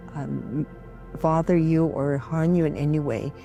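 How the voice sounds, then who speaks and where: A woman talks at a fairly slow pace in a very deep, low pitch. Her intonation stays fairly even while music plays in the background. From Guam. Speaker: storyteller and cultural practitioner. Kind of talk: interview answer.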